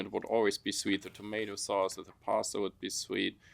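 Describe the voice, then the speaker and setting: Fairly low-pitched male voice with a German accent, monotone and flat, at a moderate pace in a very clean recording with a silent background. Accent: German accent, still present. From Germany (Frankfurt), partly raised in Africa. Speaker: construction company owner. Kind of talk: interview.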